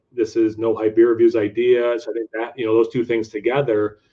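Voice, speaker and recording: A man with an unremarkable speaking voice moves at a fairly quick pace, keeping a medium pitch and fairly even intonation. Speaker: beer reviewer YouTuber and teacher. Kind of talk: casual interview chat.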